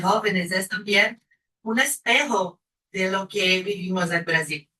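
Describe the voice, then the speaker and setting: A woman with a Brazilian accent speaks at a very slow pace in a medium pitch with a bright, sharp tone. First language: Portuguese (speaking Spanish). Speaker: panel speaker, researcher. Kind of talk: academic presentation.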